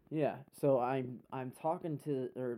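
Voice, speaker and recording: A man speaks at medium pitch. His tone is dark and mellow. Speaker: podcast guest. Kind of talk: casual chat. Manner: loud; animated.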